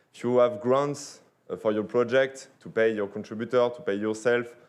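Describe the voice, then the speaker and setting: A man speaks at a fairly quick pace with fairly even intonation. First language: French. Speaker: sponsor representative. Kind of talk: sponsor pitch. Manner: halting.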